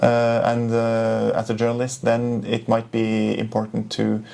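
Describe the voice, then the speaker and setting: With a Norwegian accent, a man at medium pitch speaks at a fairly slow pace in a monotone, flat delivery, with noticeable background noise behind him. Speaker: journalist. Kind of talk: interview. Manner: halting.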